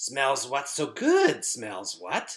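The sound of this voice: A man performs a put-on character voice at medium pitch. Hissing can be heard.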